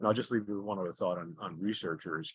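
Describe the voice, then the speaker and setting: A man's ordinary speaking voice at fairly low pitch with ordinary pitch variation, dry and close with no echo against a quiet background. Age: 60s. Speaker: charity fundraiser cyclist. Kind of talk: interview. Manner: conversational with frequent fillers and repetitions.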